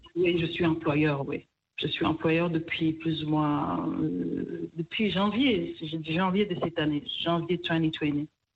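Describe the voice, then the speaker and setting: Very slowly, a woman speaks at a fairly low pitch. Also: fairly even intonation. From DR Congo, Kivu. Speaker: restaurant co-owner. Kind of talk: radio interview.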